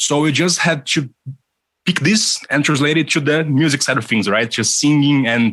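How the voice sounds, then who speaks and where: Speaking with a Brazilian Portuguese accent, a man with a fairly high pitch moves at a moderate pace, his pitch varying in an ordinary way and his loudness very even. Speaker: musician. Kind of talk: casual interview chat.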